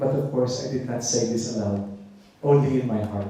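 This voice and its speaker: Audible room echo surrounds this voice. The speaker talks at a moderate pace with a Filipino accent. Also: man. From Philippines. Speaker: bishop and theologian. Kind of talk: conference lecture.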